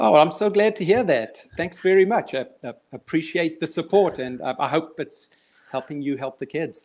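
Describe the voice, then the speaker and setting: With a South African accent, a man speaks at a moderate pace in a fairly high pitch, his intonation lively. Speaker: children's author and motivational speaker. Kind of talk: casual interview. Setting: online live stream. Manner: halting.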